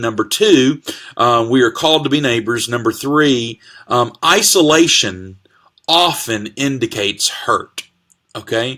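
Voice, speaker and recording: A man talks loudly at a medium pitch, his tone bright and sharp and his pitch variation ordinary. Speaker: pastor. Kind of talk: casual sermon-style live talk. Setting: Facebook live video. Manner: animated.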